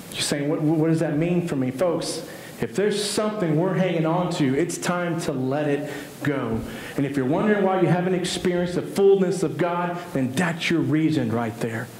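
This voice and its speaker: This man has an American accent and a high pitch, with ordinary pitch variation. He speaks at a moderate pace in a room with audible echo. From US East Texas. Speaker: pastor. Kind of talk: sermon. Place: church.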